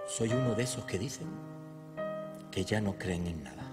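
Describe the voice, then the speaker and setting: Loud music plays in the background. A man talks at a moderate pace. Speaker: Holy Week proclaimer, poet. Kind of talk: poetry reading. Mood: solemn, emotional devotion. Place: stage. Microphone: podium.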